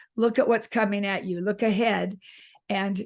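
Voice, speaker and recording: A woman with an unremarkable speaking voice, medium pitch and fairly even intonation, against a quiet background. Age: 60s. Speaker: author. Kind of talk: interview.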